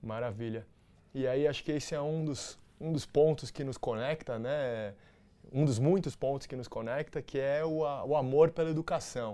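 A man's fairly high voice with a dark, mellow tone and ordinary pitch variation. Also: moderate pace. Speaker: interview podcast host. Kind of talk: interview.

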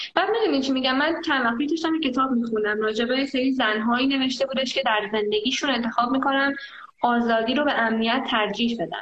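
Very fast and high-pitched, a woman speaks with very even loudness and ordinary pitch variation, with audible room echo around her. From Iran, Tehran. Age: 20s. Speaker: traveler and volunteer. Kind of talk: casual chat. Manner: animated.

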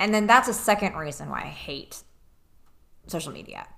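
Her intonation is lively and her tone bright and sharp. This woman speaks at a medium pitch. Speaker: podcast co-host. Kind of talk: casual chat. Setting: studio, wearing earbuds.

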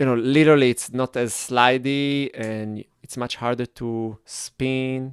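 A man speaks at a fairly slow pace and medium pitch with monotone, flat intonation and hardly any pauses, in a dry, close sound with no echo. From Israel. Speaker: dancer and movement teacher. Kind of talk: casual interview. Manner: halting.

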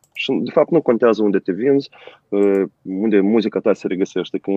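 The speaker has a Moldovan accent and ordinary pitch variation. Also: man. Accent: Moldovan Romanian. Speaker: rock musician. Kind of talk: casual interview. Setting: remote call.

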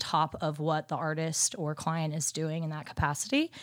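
A woman's fairly slow, fairly low-pitched delivery in a plain, everyday voice, with an American accent, in a very clean recording with a silent background. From Dallas, Texas. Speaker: merchandise account manager. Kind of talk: interview.

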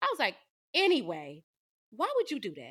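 On a very clean recording with a silent background, a woman uses a raised, projected voice with a bright, sharp, animated tone at a moderate pace. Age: 20s. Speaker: podcast co-host. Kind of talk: casual chat.

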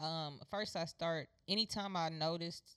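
With an American accent, a woman talks in an unremarkable speaking voice. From Houston, Texas. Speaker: podcast co-host, former athlete. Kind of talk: casual chat.

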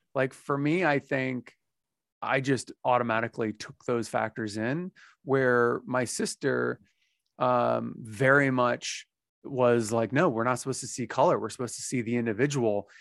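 An unremarkable speaking voice with ordinary pitch variation at a moderate pace, in a dry, close sound with no echo. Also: man, medium pitch for a man. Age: 40s. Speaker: podcast host. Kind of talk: casual chat.

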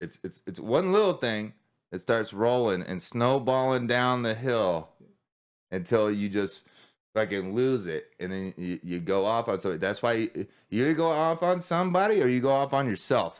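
Loud and at a medium pitch, a man talks with very wide pitch swings at a moderate pace. The recording is very clean, with a silent background. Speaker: podcast host and war veteran. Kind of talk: casual chat. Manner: halting with repetitions.

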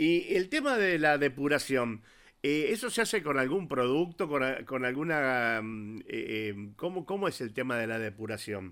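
Over a very clean, silent background, a man speaks at a fairly slow pace and a fairly high pitch with very wide pitch swings. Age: 50s. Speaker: radio host. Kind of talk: radio interview. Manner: halting, hesitant.

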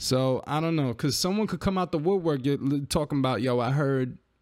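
In an American accent, a man speaks at a moderate pace and a fairly high pitch. He has an unremarkable speaking voice with ordinary pitch variation. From New York. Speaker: podcast co-host and rapper. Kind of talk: casual chat.

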